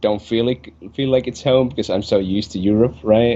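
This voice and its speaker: A man speaks with a Finnish accent. His tone is dark and mellow. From Finland. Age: 20s. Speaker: esports player. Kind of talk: interview.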